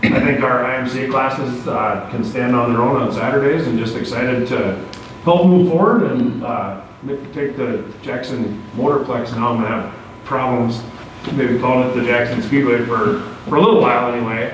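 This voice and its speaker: A man speaks with audible room echo over light background noise. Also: ordinary pitch variation, moderate pace. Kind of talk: meeting remarks. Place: meeting room. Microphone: camera far.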